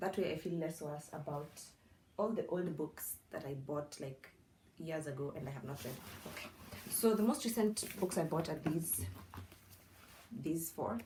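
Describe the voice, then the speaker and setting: A woman with a non-native accent and a very deep, low pitch, lively intonation, a moderate pace, and long, frequent pauses. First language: not English. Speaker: book content creator. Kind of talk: casual vlog. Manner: conversational, self-talking.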